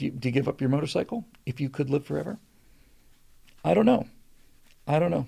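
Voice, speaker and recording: A man speaks with vocal fry at a medium pitch. His tone is dark and mellow. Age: 60s. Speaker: live stream show host. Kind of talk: casual chat reading live viewer comments. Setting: live stream. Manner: halting, many fillers and restarts.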